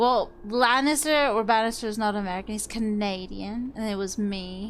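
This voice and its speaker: A woman talks at a medium pitch with ordinary pitch variation. Audible echo fills the room. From grew up in England and Germany (military family). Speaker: streamer, roleplay gamer. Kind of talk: casual chat during gameplay.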